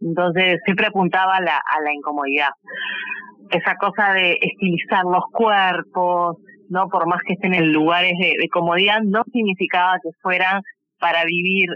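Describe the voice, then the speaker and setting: The woman speaks at a moderate pace in a medium pitch. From Uruguay. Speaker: fashion designer. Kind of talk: interview. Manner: halting.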